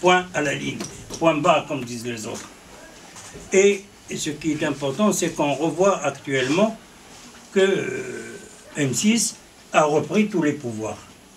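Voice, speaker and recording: Over noticeable background noise, a man speaks fairly slowly with lively intonation. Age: 60s. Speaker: journalist and political commentator. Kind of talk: political interview. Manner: halting, many repetitions.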